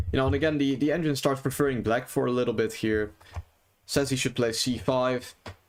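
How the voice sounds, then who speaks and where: A man with a non-native accent speaks at a medium pitch, his pitch varying in an ordinary way. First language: not English. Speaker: chess streamer. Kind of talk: live stream game commentary. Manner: casual, many fillers.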